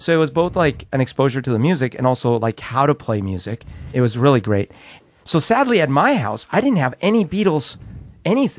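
Over a silent background in a very clean recording, a man talks at a fairly quick pace and fairly high pitch, his pitch swinging very widely. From Colombia. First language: Spanish. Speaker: podcast co-host. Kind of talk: casual chat.

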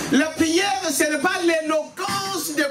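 Over clear background music, a man speaks at a slow pace with an extremely high pitch.

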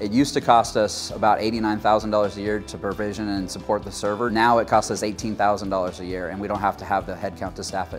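A man speaks at a fairly low pitch. Faint music plays in the background. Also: fairly even intonation. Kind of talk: interview answer. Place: studio. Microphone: lapel.

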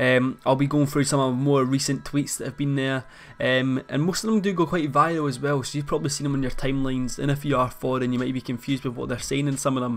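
A man with a fairly high voice talks at a very fast pace with hardly any pauses. His intonation stays fairly even. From Scotland. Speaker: YouTuber. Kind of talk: casual talk to camera. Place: home room.

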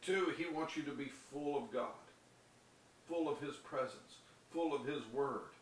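Light background noise, audible room echo, and a moderate pace. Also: man. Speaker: preacher. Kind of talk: sermon with scripture reading and prayer; fervent prayer, declaimed aloud with rising devotional intensity. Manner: earnest, impassioned, urgent; rhythmic, building cadence with repeated phrases. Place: home room. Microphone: webcam.

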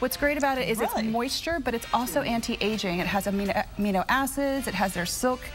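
With clear music in the background, a woman talks at a very fast pace with hardly any pauses. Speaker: guest. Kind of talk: TV interview product presentation. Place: studio. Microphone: lapel.

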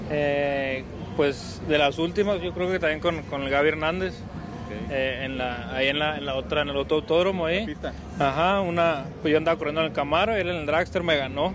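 Fairly high male voice, moderate tempo, ordinary pitch movement, noticeable noise behind it. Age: 20s. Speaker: drag racing driver. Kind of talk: interview.

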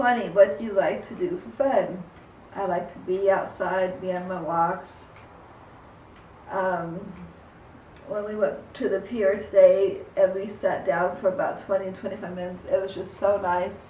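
Audible room echo and light background noise surround a woman's voice. She keeps a fairly slow pace and fairly even intonation. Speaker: vlogger. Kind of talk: casual vlog chat. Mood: calm, relaxed. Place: home room.

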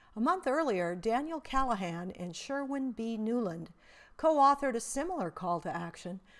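Her fairly high pitch moves in very wide swings as this woman talks at a moderate pace. The recording is very clean, with a silent background. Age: 60s. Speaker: essayist presenting her own writing. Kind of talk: reading aloud.

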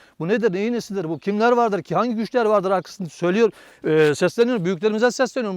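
A man speaks at a very fast pace in a high voice, his pitch varying an ordinary amount. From Turkey, Aydın province (Aegean region). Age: 40s. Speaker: farmer. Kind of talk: interview testimony. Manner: hesitant, many filler sounds.

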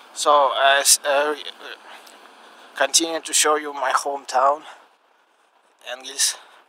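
A man's bright, sharp voice in monotone, flat intonation, fairly slow with long, frequent pauses, dry with no echo, over light background noise. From Russia, Engels. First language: Russian. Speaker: amateur vlogger. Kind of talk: casual vlog narration walking at night. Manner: hesitant, halting non-native English. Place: street. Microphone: phone near.

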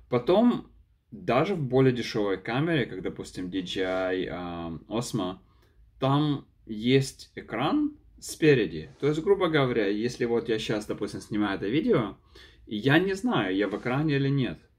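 Fairly slow male speech in a non-native accent, with very wide pitch swings. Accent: noticeable foreign accent in Russian. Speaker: YouTuber, product reviewer; vlogger reviewing a camera. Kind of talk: unedited vlog review. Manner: halting, many fillers and repeats. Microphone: phone near.

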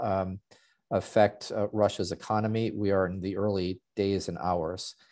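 Fairly low-pitched male speech, monotone and flat, at a fairly slow pace. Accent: American. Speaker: arms control expert. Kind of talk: panel presentation. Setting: video call.

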